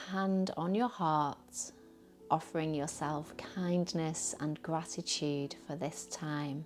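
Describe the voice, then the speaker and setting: Over background music, a woman speaks very slowly at a fairly low pitch with fairly even intonation. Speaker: yoga teacher. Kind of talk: guided meditation. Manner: soothing.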